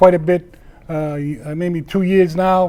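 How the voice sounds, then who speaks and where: Here is a man talking. He speaks with a Boston accent. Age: 60s. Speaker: wrestling show host, former wrestler. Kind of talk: casual local TV talk show. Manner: rambling with many fillers.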